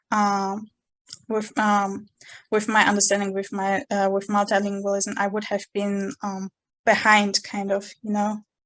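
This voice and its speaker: A woman with a Chechen accent, medium-pitched and flat in intonation, at a fairly slow pace against a quiet background. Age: 20s. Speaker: university student. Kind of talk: interview. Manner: halting.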